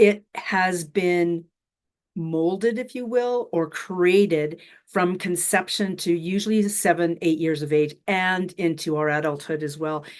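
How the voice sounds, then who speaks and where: A woman with a Canadian accent, an ordinary speaking voice, fairly low pitch and ordinary pitch variation, at a fairly slow pace against a quiet background. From western Canada (Alberta). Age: 60s. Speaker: spiritual mentor. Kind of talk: casual interview chat. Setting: live online session.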